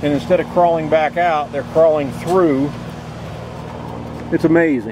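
A man at a fairly slow pace, dry sound with no echo, noticeable background noise. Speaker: RV vlogger. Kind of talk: casual vlog chat. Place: open country. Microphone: phone near.

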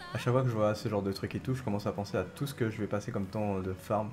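Somewhat breathy and dark, mellow in tone, a man at medium pitch talks at a very fast pace with ordinary pitch variation. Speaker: gaming streamer. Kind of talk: live gameplay commentary.

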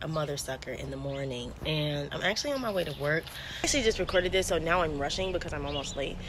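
A woman talking at a very fast pace with hardly any pauses, over noticeable background noise. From New Jersey. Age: 20s. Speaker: vlogger. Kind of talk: casual storytime vlog to camera. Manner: upbeat, chatty.

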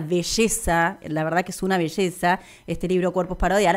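A woman with a Rioplatense accent talks at a moderate pace against a quiet background. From Argentina. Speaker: radio host. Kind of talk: interview. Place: studio. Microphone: studio mic.

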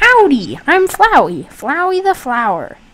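A put-on character voice at an extremely high pitch moves at a fairly slow pace while music plays in the background. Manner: cheery, chipper.

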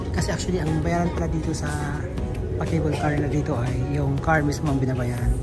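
Speech at a moderate pace comes through over loud background music. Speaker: travel vlogger. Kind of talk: casual vlog chat. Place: station. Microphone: phone near.

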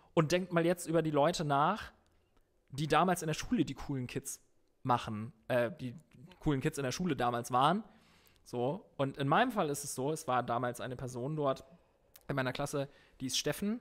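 A man with a fairly high pitch and ordinary pitch variation talks at a moderate pace, leaving long, frequent pauses. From northern Germany, Emsland. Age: 30s. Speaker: guitarist. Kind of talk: casual chat.

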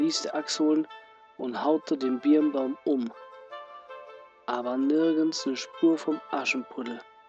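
Long, frequent pauses break up very slow speech, with music in the background. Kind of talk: fairy tale reading.

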